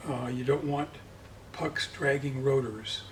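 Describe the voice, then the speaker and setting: Noticeable background noise sits behind a man's voice. He talks at a moderate pace with a fairly high pitch. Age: 70s. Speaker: motorcycle land speed racer. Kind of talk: casual interview. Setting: workshop.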